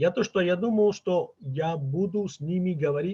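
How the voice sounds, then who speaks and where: A man with a Catalan accent speaks at a very slow pace in a dark, mellow, somewhat breathy tone with ordinary pitch variation. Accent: Catalan accent in Russian. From Catalonia, Spain. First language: Catalan (speaking Russian). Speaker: linguist, father of bilingual children. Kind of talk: interview conversation. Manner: halting, many fillers.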